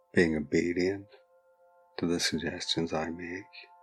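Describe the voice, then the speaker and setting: With music in the background, a man speaks slowly in a soothing tone. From British or Irish. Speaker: hypnotist. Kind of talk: hypnosis induction. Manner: slow, soothing.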